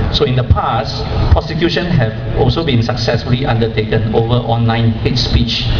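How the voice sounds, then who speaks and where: Against loud background noise, a man with a Singaporean accent speaks at a moderate pace. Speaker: blog editor. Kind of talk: protest speech. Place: stage.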